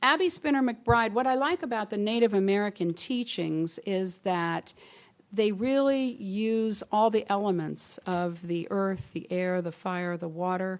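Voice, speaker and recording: Here is a woman with a plain, everyday voice at a medium pitch. She speaks at a fairly slow pace with lively intonation. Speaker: inspirational speaker. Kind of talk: sermon.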